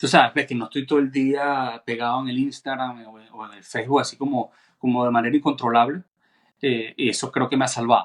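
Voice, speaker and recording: A man talks fairly quickly at a medium pitch with monotone, flat intonation. His loudness swings widely. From Venezuela. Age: 40s. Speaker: cellist. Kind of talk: casual chat.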